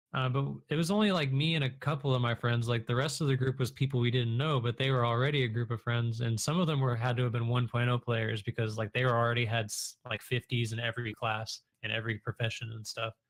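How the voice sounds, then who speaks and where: Hardly pausing at all, a man speaks at a very fast pace in a somewhat breathy voice of medium pitch with fairly even intonation. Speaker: Twitch streamer and online game player, guest in the interview. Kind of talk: casual podcast interview answer.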